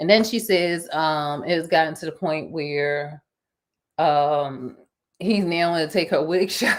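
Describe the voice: The pitch varies in an ordinary way. Delivery is at a fairly slow pace. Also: woman, low pitch for a woman.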